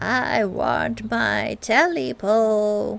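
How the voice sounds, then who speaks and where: A woman's put-on character voice, croaky and hoarse at a medium pitch, with faint music in the background. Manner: croaking, demanding.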